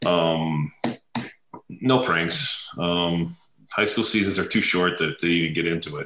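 Against noticeable background noise, a man with a very deep, low pitch talks at a fairly slow pace with ordinary pitch variation. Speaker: retired NFL offensive lineman. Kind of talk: casual interview.

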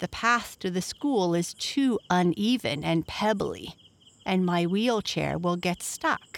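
An unforced reading voice is heard. The reading comes across as unforced.

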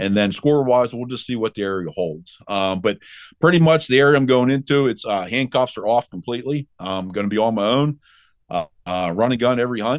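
A man with a plain, everyday voice speaks at a medium pitch and fairly quick pace, his intonation lively. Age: 40s. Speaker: deer hunter. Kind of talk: casual chat.

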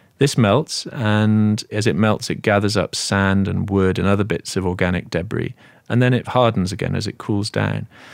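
A man with an English accent speaks at a moderate pace and a fairly low pitch. The recording is very clean, with a silent background. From Britain. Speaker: author. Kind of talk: interview.

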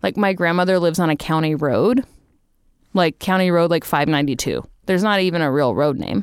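In a normal speaking voice with an American accent, the speaker goes at a fairly quick pace with ordinary pitch variation and very even loudness, on a very clean recording with a silent background. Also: woman, fairly low pitch for a woman. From Texas. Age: 30s. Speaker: comedian. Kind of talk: casual chat.

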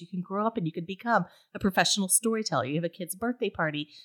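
A woman with an American accent speaks at a medium pitch with ordinary pitch variation. The recording is very clean, with a silent background and a dry, close sound with no echo. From Appalachia. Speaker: podcast host, ghost story podcaster. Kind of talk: casual chat.

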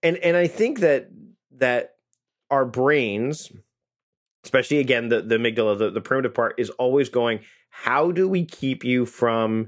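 A man with a Canadian accent talks at a moderate pace in an unremarkable speaking voice. His pitch is medium with ordinary variation, over a quiet background. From Canada. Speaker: podcast host. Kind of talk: interview.

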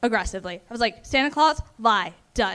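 A woman at a moderate pace in an ordinary speaking voice, fairly high in pitch, with an American accent and lively intonation. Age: 20s. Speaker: first-time comedian. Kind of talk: stand-up. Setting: stage with audience.

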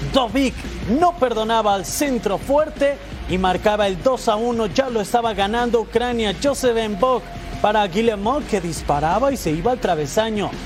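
A high-pitched man's voice, energetic and excited, with ordinary pitch variation over music in the background. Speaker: sports radio co-host. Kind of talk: sports commentary, rapid goal recaps. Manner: brisk, energetic, excited.

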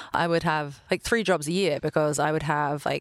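In an American accent, a woman rattles along at a very fast pace with a very deep, low pitch and vocal fry against a quiet background. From London, England. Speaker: venture capital partner. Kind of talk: casual interview.

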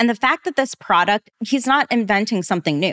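At a moderate pace comes a plain, everyday voice, captured on a very clean recording with a silent background. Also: woman, dry, close sound with no echo. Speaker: podcast host. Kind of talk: casual podcast chat about business.

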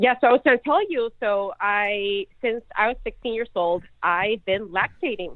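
A woman's fairly high-pitched voice with ordinary pitch variation, a fairly slow pace and hardly any pauses. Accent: Chilean. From Chile. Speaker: caller. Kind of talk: casual chat. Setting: phone call.

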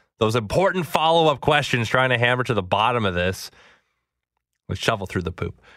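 A man speaks with a bright, sharp tone and lively intonation, leaving long, frequent pauses. The recording is very clean, with a silent background. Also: medium pitch for a man, fairly quick pace. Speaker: sports radio host. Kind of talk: radio sports show podcast. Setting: radio studio.

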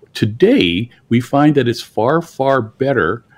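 The man talks at a fairly slow pace. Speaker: dentist. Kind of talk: interview. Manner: calm.

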